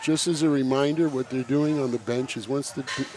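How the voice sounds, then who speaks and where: A man's fairly high voice at a moderate pace, fairly even in intonation, against noticeable background noise. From New York. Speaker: powerlifting meet commentator. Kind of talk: live sports commentary.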